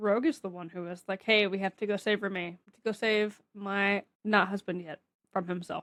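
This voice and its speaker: In a dry, close sound with no echo, a woman with an American accent speaks at a medium pitch and a moderate pace. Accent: Southern US accent comes out when relaxed. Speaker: comic book podcast co-host. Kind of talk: casual chat.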